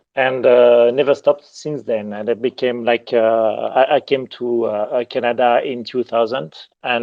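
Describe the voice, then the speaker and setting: The voice carries a French accent. Its pace is moderate. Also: man. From southern France. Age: 50s. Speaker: digital artist and art director. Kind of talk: interview. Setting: live audio chat room. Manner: halting, many fillers.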